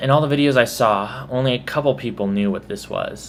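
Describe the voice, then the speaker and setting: With a Texas accent, a man speaks at a moderate pace with ordinary pitch variation. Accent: mild Texas. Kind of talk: accent tag video, casual talk to camera. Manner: casual, chatty.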